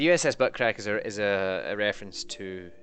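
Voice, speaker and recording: Someone with a Scottish accent speaks at a fairly slow pace. Music plays in the background. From Scotland. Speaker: video game streamer. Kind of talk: live gameplay stream commentary. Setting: live stream. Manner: casual, hesitant with self-corrections.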